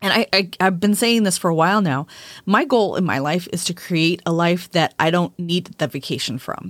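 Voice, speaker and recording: With an ordinary speaking voice, a woman talks at a fairly low pitch and uses ordinary pitch variation. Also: moderate pace. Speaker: witchcraft podcast host and author. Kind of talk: casual conversational podcast discussion.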